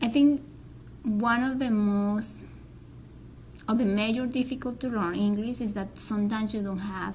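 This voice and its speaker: At a moderate pace, a woman with a Spanish accent speaks at a fairly high pitch, somewhat breathy and with fairly even intonation. Her long, frequent pauses fall in a room with audible echo. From Colombia. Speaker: Spanish teacher and graduate student. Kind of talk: interview. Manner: halting.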